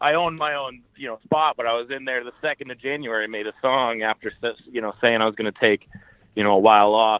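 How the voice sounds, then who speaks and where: Talking at a very fast pace with an American accent, a man holds a medium pitch with ordinary pitch variation and big swings in loudness. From Maine, US. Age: 30s. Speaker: rapper and podcaster. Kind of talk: interview.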